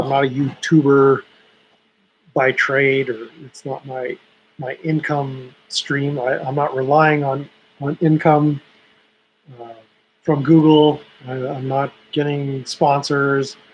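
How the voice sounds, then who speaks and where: At a very slow pace with long, frequent pauses, a man speaks in a monotone, flat way at a fairly high pitch. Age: 50s. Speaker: YouTube livestreamer. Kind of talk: casual livestream chat. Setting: home livestream, webcam. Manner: halting, many repeated words. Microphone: old laptop webcam.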